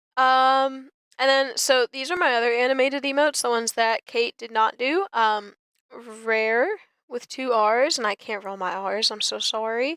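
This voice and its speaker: Her bright, sharp tone sits at a high pitch as a woman talks at a moderate pace with ordinary pitch variation, the sound dry and close with no echo on a very clean recording with a silent background. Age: 20s. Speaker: vtuber streamer. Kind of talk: casual live stream chat. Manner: casual, many fillers and restarts.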